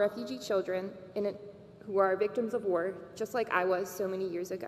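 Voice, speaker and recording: A woman talks at a very fast pace. Noticeable background noise is present. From Bosnia, raised in Maryland from age 4. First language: Serbo-Croatian. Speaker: graduating student speaker. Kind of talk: commencement speech.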